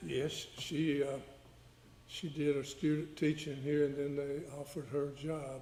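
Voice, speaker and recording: A man with a Georgia accent speaks slowly-ish, at a fairly slow pace, in a fairly high, somewhat breathy voice with a dark, mellow tone. His intonation is monotone and flat, and room echo can be heard. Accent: US Southern (Georgia). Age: 70s. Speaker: witness, victim's father. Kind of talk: courtroom testimony. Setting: courtroom. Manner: halting.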